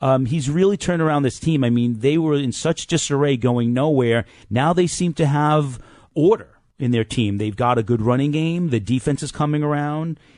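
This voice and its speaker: Over a quiet background, a man with a normal speaking voice talks at a moderate pace in a fairly high pitch with ordinary pitch variation. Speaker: radio talk show host. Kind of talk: sports talk radio.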